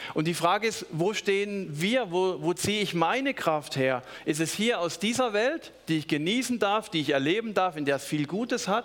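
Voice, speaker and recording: The tone is animated and warm, with lively intonation, hardly any pauses and a moderate pace, over noticeable background noise. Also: man, high pitch for a man. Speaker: preacher. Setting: church.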